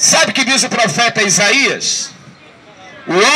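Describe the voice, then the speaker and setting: A raised, projected voice at a very slow pace, over noticeable background noise. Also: man. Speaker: street preacher. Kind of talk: street sermon to passers-by. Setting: outdoors, public square.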